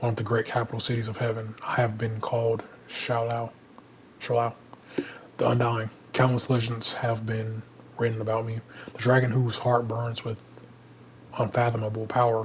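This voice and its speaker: At a moderate pace, a man with a medium pitch speaks in a monotone, flat intonation, with long, frequent pauses and noticeable background noise behind him. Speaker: gaming channel creator. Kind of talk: reading aloud. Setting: home bedroom. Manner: stutters at times.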